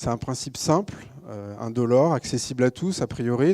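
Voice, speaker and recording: Dark, mellow tone from a man, on a very clean recording with a silent background. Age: 30s. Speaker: social entrepreneur, company co-founder. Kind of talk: conference talk. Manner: frequent hesitations (euh).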